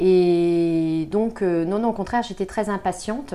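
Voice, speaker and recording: A woman with a normal speaking voice talks at a fairly low pitch. Her pitch variation is ordinary. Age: 40s. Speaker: communication consultant and mother. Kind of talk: interview testimony.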